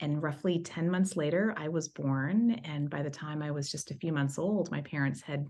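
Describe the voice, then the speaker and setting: With an American accent, a woman speaks at a moderate pace with a very deep, low pitch and ordinary pitch variation. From East Texas. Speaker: HR executive. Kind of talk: personal testimony.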